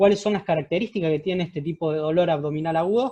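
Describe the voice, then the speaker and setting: This man speaks with a high-pitched voice. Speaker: surgeon teaching residents. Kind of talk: lecture. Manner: fast.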